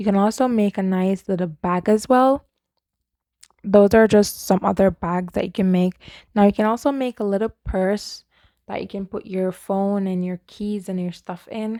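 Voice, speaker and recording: In a very clean recording with a silent background and a dry, close sound free of echo, a woman speaks at a medium pitch with a dark, mellow tone and fairly even intonation. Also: moderate pace. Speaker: crochet YouTuber. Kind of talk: tutorial. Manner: casual, halting.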